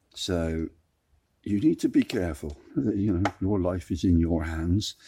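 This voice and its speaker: In a very clean recording with a silent background, a man speaks very slowly with a very deep, low pitch, a dark, mellow tone, ordinary pitch variation and a somewhat breathy quality. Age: 60s. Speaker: DIY electronics tutor. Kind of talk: tutorial. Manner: conversational.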